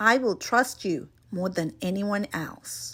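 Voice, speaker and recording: A put-on character voice growls through very wide pitch swings at a fairly slow pace. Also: woman, medium pitch for a woman. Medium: read story. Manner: commanding, loud when angry.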